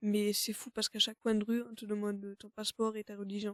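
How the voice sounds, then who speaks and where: The delivery is fairly quick, with monotone, flat intonation. The sound is dry and close, with no echo. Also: woman. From Germany. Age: 20s. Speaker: student. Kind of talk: conversational interview. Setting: studio. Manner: hesitant, many fillers. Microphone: mic issues.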